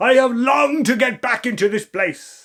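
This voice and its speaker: A man speaks loudly in a put-on character voice. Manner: wicked, gloating, laughing.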